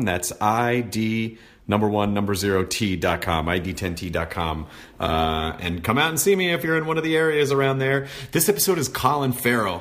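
With an ordinary speaking voice, a man talks at a moderate pace and medium pitch. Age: 40s. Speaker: podcast host and comedian. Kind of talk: casual chat; podcast intro. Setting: studio.

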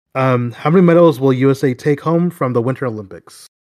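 A man talks at a fairly quick pace in a plain, everyday voice, at a medium pitch with ordinary pitch variation. The recording is very clean with a silent background. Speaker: basketball podcast co-host. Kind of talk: casual chat.

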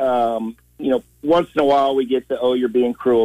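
Delivered at a moderate pace, this is an unremarkable speaking voice with ordinary pitch variation. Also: man. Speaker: carriage driver. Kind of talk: radio call-in. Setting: phone call.

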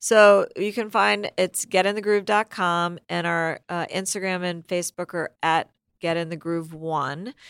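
With a normal speaking voice, a woman talks fairly slowly at a fairly low pitch with ordinary pitch variation, in a very clean recording with a silent background. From United States, moved often. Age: 60s. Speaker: entrepreneur. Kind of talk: interview conversation.

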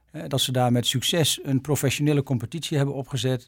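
A man speaking very fast in a flat monotone. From Netherlands, Arkel, Zuid-Holland. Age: 60s. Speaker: ambassador. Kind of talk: interview. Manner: hesitant, with many fillers.

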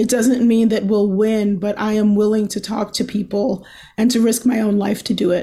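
Speaking with an American accent, a woman has a fairly high pitch, a dark, mellow tone, a somewhat breathy quality, and monotone, flat intonation at a moderate pace. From Baltimore, Maryland. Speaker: journalist and podcast host. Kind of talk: interview.

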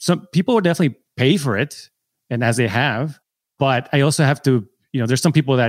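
A man with an American accent at medium pitch and ordinary pitch variation, in a very clean recording with a silent background and a dry, close sound with no echo. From San Diego, US. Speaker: film and TV editor, mentor. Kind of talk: coaching call conversation.

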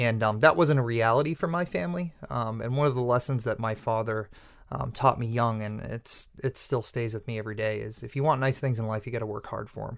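A man with an American accent talks at a fairly quick pace with hardly any pauses. His medium-pitched voice shows ordinary pitch variation on a very clean recording with a silent background. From Massachusetts North Shore (Peabody). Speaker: chef and restaurant owner. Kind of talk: casual interview. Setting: studio.

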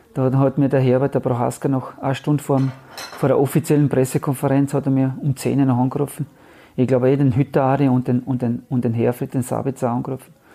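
At a very fast pace, a man with a dark, mellow tone and medium pitch keeps very even loudness and a monotone, flat intonation. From Austria, Carinthia. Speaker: retired footballer. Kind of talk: interview. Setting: at home.

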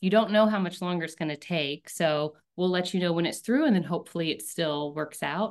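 A normal speaking voice with an American accent and ordinary pitch variation. It runs on with hardly any pauses. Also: woman, fairly low pitch for a woman, fairly quick pace. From rural North Carolina, US South. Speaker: startup founder and CEO. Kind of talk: interview.

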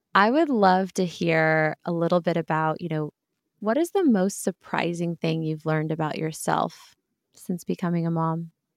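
A woman with a plain, everyday voice, fairly low in pitch, fairly even intonation and a moderate pace, in a dry, close sound with no echo on a very clean recording with a silent background. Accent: American. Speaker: podcast host. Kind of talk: casual interview.

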